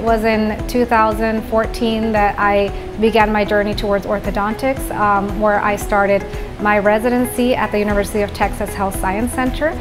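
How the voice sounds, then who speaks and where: The voice moves at a moderate pace with monotone, flat intonation. Clear music plays in the background. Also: woman. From born in Venezuela, grew up in the Netherlands. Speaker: orthodontist. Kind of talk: interview answer. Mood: warm, proud. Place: office. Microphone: lapel.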